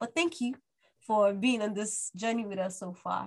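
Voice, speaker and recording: Here is a woman with a medium pitch and ordinary pitch variation. It is a plain, everyday voice. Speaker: podcast co-host. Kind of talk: casual chat.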